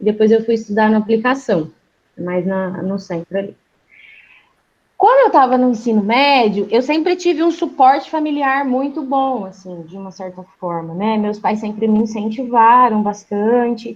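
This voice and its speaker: A woman speaks at a moderate pace in a normal speaking voice, her pitch fairly high. Her intonation is lively, and her loudness swings widely. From Brazil, Londrina (Paraná). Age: 20s. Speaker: physiotherapist. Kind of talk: interview.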